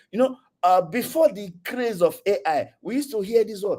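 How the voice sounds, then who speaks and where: The man's voice is high, its pitch swings very widely, and his speed is moderate. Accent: Nigerian. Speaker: tech community speaker. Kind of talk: online lecture. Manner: hesitant, many fillers.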